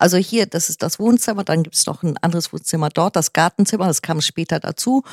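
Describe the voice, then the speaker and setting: An ordinary speaking voice moves at a fairly quick pace with lively intonation, on a very clean recording with a silent background and a dry, close sound with no echo. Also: woman. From northern Germany, near Kiel. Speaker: artist and homeowner. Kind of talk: casual interview.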